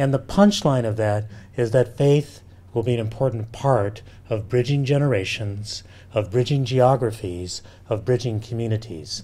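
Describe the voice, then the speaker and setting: There is a somewhat breathy quality to this man's voice. His pitch sits in the medium range. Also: ordinary pitch variation, moderate pace. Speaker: professor and demographer. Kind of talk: lecture. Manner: casual, halting with fillers.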